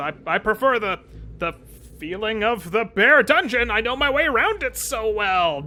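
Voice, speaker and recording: Putting on a pompous character voice, a man speaks at a high pitch and a moderate pace. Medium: actual play. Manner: pompous, bluffing.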